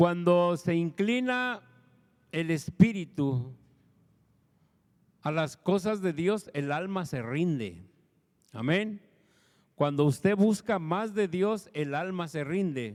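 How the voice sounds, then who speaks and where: A man's high-pitched voice, very slow with long, frequent pauses and lively intonation, on a very clean recording with a silent background. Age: 60s. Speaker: pastor. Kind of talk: sermon.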